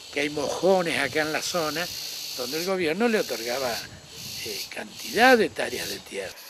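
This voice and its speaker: Amid noticeable background noise and audible room echo, a man with a fairly high pitch talks at a moderate pace with very wide pitch swings. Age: 60s. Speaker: local resident interviewee. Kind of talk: interview testimony.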